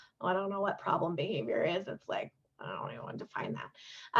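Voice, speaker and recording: Vocal fry at a fairly quick pace. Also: woman. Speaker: youth development trainer. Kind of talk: virtual training presentation. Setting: video call. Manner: halting, many fillers.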